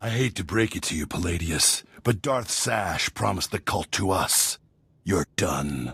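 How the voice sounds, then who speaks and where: A man puts on a growling character voice, very deep and low in pitch. He speaks at a moderate pace. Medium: video game.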